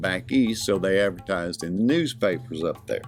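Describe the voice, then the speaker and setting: With music in the background, the words come at a fairly quick pace. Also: man. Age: 60s. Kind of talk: casual talk to camera.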